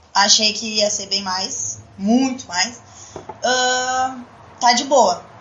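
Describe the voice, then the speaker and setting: A woman talks at a very slow pace with a fairly high pitch and ordinary pitch variation. Audible room echo and noticeable background noise surround her. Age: 20s. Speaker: adult entertainment business owner. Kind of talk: casual chat. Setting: live-streamed podcast studio.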